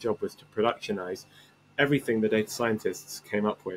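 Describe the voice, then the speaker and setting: This man has a fairly low pitch. He talks at a fairly quick pace. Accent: English. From England. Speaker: tech startup CEO. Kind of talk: podcast interview.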